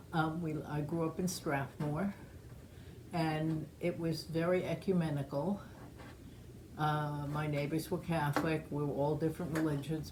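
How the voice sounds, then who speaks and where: A woman's very deep, low, somewhat breathy voice with a dark, mellow tone and an American accent, fairly slow with fairly even intonation, in audible room echo. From New York, Long Island (Great Neck). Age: 70s. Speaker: oral history interviewee. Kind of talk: oral history interview.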